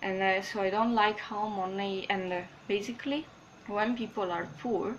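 Against light background noise, a woman with a strong non-native accent speaks at a fairly slow pace with fairly even intonation. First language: not English. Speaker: spiritual vlogger. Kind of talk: casual talk to camera. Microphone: webcam.

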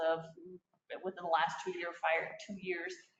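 A woman speaks at a fairly quick pace. Her voice carries audible room echo. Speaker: city staff presenting committee report. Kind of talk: council meeting report. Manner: fast.

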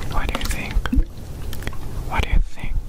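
Loud background noise sits behind a man's voice in this clip. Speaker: ASMR creator. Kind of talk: ASMR whisper video. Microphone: lapel.

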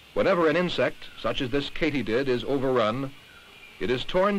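With a normal speaking voice, a man pitched fairly high talks at a moderate pace with lively intonation. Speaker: documentary narrator. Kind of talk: vintage educational film narration, scripted and didactic. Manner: formal, measured, even-paced and authoritative; impersonal and didactic, like a 1960s science film.

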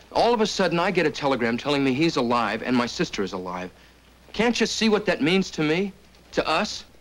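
A man talks at a fairly quick pace with vocal fry and very wide pitch swings. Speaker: actor as a frontier brother. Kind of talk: drama dialogue. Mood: earnest, pleading. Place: office.

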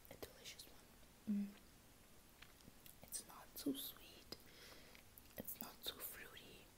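Long, frequent pauses break up a woman's speech. She whispers at a very slow pace. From South Africa. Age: 20s. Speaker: YouTuber, au pair. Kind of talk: casual talk to camera, ASMR unboxing. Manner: soft, quiet, hushed. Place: home room. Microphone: earbuds.

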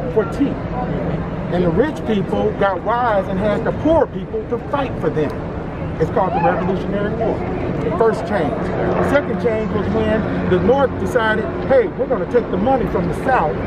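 Loud background noise runs beneath speech delivered at a moderate pace. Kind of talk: street debate. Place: street.

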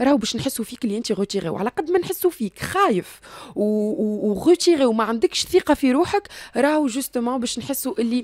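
In a dry sound with no echo and a quiet background, a woman talks fairly quickly in a high voice with very wide pitch swings. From Tunisia. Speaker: recruiter; interview guest. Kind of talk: radio interview. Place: studio. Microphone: studio mic.

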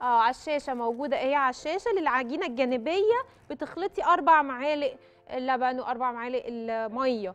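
Faint music plays behind a woman speaking at a moderate pace. Her voice is high-pitched. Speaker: cooking show host. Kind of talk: tutorial. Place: studio. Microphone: lapel.

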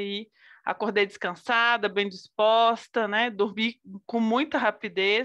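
A woman talks with a fairly high pitch and a bright, sharp tone in monotone, flat intonation against a quiet background. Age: 30s. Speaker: businesswoman and essential oils consultant; guest. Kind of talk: casual chat. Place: home room. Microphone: video call.

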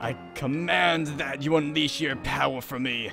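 Clear music plays in the background as a man does a put-on character voice. He has a medium pitch and speaks at a moderate pace. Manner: dramatic, commanding.

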